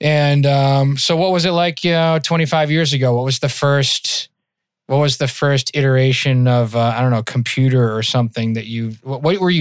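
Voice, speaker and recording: A slight Massachusetts accent at a fairly quick pace, with ordinary pitch variation, in a very clean recording with a silent background. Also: man. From Massachusetts, near Worcester. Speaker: podcast host. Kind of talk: casual interview chat.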